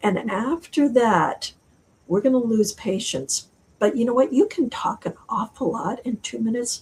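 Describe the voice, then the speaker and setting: With an unremarkable speaking voice, a woman talks at a moderate pace in a fairly high pitch with lively intonation. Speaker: author. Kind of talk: interview.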